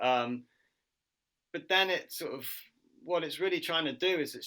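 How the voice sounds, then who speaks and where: With a British accent and a bright, sharp tone, a man speaks at a moderate pace. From UK. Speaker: martial artist and social worker. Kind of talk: interview answer.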